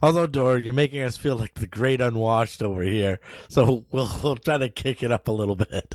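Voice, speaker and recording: At a fairly quick pace, a man with an American accent talks in an ordinary speaking voice at medium pitch with ordinary pitch variation. The recording is very clean, with a silent background and a dry, close sound with no echo. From New Hampshire, US. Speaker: podcast co-host. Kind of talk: casual chat.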